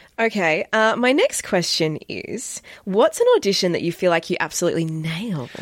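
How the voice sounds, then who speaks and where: Using lively intonation, a woman speaks at medium pitch and a moderate pace with an Australian accent. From Australia, Melbourne. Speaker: podcast host and actor. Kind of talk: casual chat. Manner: animated.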